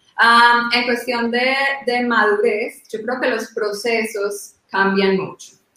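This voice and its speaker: A woman's fairly high-pitched, monotone voice with flat intonation at a very slow pace. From Colombia. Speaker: privacy lawyer. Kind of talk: panel discussion.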